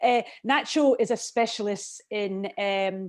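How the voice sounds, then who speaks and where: A woman speaks with a Scottish accent and ordinary pitch variation. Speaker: declutter and organising professional, show co-host. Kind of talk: live video chat show. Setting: video call.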